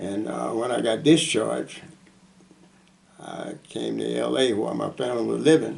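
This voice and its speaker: Amid noticeable background noise, a man with a fairly low voice swings very widely in pitch, speaking at a moderate pace with long, frequent pauses. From US South, Mississippi. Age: 80s+. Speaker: war veteran. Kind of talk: oral history interview. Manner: halting.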